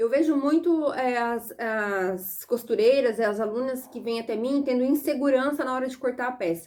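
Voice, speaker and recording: A woman talks with a Brazilian accent and a high pitch. Her tone is animated. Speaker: sewing and pattern-making teacher. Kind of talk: online lesson. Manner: fast.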